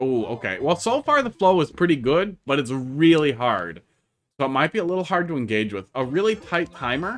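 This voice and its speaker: Speaking at a fairly quick pace, a man has a slight Wisconsin accent. His fairly high voice swings very widely in pitch. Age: 30s. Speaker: game streamer. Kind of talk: casual live-stream commentary. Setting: live stream.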